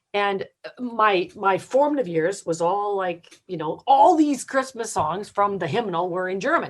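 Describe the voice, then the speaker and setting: A normal speaking voice with a Canadian accent moves at a fairly slow pace with hardly any pauses and lively intonation. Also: woman, medium pitch for a woman. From Canada, Windsor, Ontario. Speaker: singer-songwriter. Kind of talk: interview.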